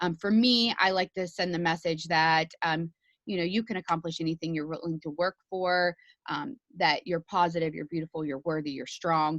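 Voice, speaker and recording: Fairly quick speech with ordinary pitch variation, a dry, close sound with no echo and a quiet background. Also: woman. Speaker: network marketing team leader. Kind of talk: team training session. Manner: fast; animated.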